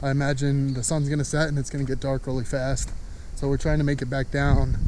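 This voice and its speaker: The intonation is monotone and flat, with noticeable background noise and a dry sound without echo. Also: man. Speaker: hiker vlogger. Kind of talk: casual vlog chat. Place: forest. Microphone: phone near.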